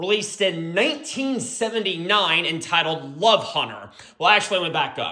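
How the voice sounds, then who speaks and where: Amid noticeable background noise, a man with a high pitch uses a raised, projected voice, an animated tone and lively intonation. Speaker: music album reviewer. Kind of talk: album review monologue. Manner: loud at times.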